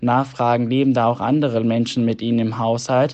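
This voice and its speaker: Here a man talks at a moderate pace and medium pitch. His intonation is monotone and flat. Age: 20s. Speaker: medical student. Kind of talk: voice message answers. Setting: recorded voice messages.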